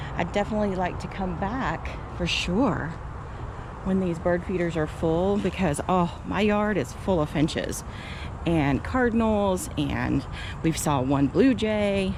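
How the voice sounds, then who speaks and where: Soft-spoken and fairly slow, a woman uses a fairly low pitch with ordinary variation. Audible room echo and noticeable background noise accompany her. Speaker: travel vlogger. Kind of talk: casual vlog narration. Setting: outdoors. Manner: soft-spoken, talking quietly.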